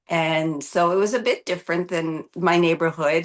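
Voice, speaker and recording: A woman with a Canadian accent speaks over a quiet background in a normal speaking voice. Her pitch is fairly low, her pace moderate and her intonation fairly even. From Canada. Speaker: physician. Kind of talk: interview.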